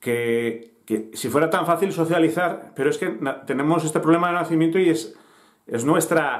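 A man's fairly high voice at a moderate pace, with lively intonation

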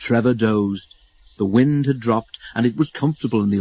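Pitch varies in an ordinary way as the text is read aloud in a natural voice.

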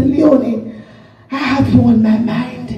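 Music plays in the background as a woman talks at a fairly slow pace, with audible room echo. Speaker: visiting preacher. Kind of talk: sermon.

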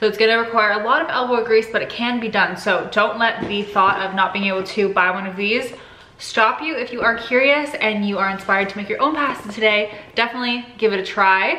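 A woman talks at a fairly quick pace with ordinary pitch variation. There is audible room echo. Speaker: cooking vlogger. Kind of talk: casual vlog chat. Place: kitchen. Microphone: phone near.

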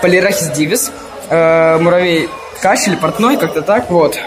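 Crowd noise fills the background. A man speaks at a moderate pace. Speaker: ant-keeping vlogger. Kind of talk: vlog walkthrough. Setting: indoors at a zoo with crowds. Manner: casual, filler-heavy. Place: hall. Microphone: phone near.

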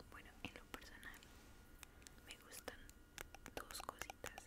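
A woman whispering at a fairly slow pace. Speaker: ASMR creator. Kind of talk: soft skincare roleplay chat. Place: home room. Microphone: studio mic.

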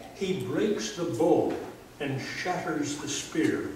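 A man's high-pitched voice at a very slow pace with ordinary pitch variation, plus audible room echo and light background noise. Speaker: pastor. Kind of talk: funeral eulogy. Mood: solemn, measured. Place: church. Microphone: camera far.

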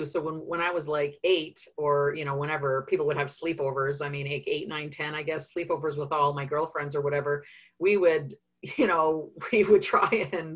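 Set against a quiet background, a woman with a Canadian accent speaks at a moderate pace in a very deep, low, somewhat breathy voice with fairly even intonation. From Canada, Winnipeg. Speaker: UFO researcher and author. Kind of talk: interview answer. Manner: hesitant, rambling.

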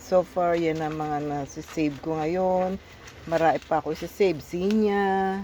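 A woman's fairly low-pitched voice, dark and mellow in tone, with fairly even intonation and a fairly slow pace. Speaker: vlogger. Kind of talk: casual vlog. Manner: casual, laughing.

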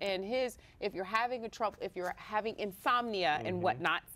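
A woman speaks with vocal fry. Her tone is bright and sharp. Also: medium pitch for a woman, ordinary pitch variation, moderate pace. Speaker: show host. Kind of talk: casual podcast banter to camera. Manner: playful, joking. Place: studio. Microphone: lapel.

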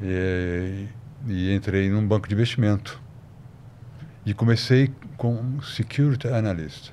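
Very slow and broken by long, frequent pauses, a man's speech sits at a fairly low pitch. His pitch variation is ordinary. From São Paulo, Brazil. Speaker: financial analyst. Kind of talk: podcast interview.

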